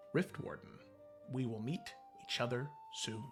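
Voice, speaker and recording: Against clear music in the background, a put-on character voice moves at a moderate pace. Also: man, medium pitch for a man. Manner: foreboding.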